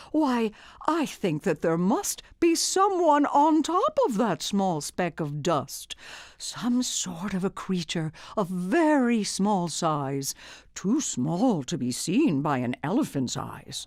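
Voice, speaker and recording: A woman's put-on character voice at a medium pitch, with very wide pitch swings and a fairly slow pace. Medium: read story. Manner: earnest, sincere.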